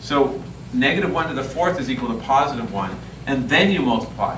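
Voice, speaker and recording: With noticeable background noise and audible room echo, a man speaks at a moderate pace with very wide pitch swings. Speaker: math teacher. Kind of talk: classroom lesson. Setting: classroom with students.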